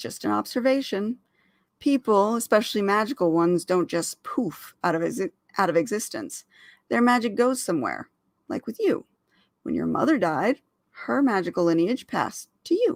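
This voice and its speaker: In a put-on character voice, raspy and fairly high-pitched, the speaker moves at a moderate pace on a very clean recording with a silent background. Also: female-sounding voice. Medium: read story. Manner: playful, teasing.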